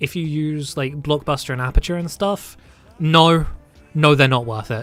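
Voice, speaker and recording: A man's fairly high voice in a British accent, at a moderate pace with ordinary pitch variation and music in the background. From Britain. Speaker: streamer. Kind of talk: casual chat. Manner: halting.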